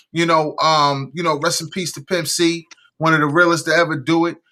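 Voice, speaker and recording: On a very clean recording with a silent background, a man speaks at a moderate pace in a high pitch with a bright, sharp tone. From New York / New Jersey area. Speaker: podcast host. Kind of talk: casual chat.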